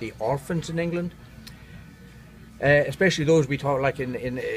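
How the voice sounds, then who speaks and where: Music plays in the background as a man with an Irish accent speaks at a fairly high pitch. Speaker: neurotherapist. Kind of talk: interview. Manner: warm and engaging; halting.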